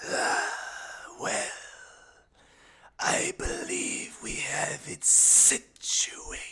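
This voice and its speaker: A man uses a put-on character voice at an extremely high pitch, raspy in texture. He talks at a very slow pace with long, frequent pauses. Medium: actual play. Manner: cold, commanding.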